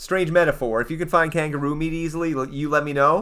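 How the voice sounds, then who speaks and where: Here is a man with a fairly high pitch and a bright, sharp tone. He moves at a fairly quick pace with a Canadian accent. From eastern Canada. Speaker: gaming streamer. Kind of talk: casual live stream chat. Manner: animated.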